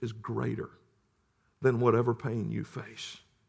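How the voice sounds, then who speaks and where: A man with a medium-pitched voice and vocal fry speaks at a fairly slow pace. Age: 40s. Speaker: pastor. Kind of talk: sermon.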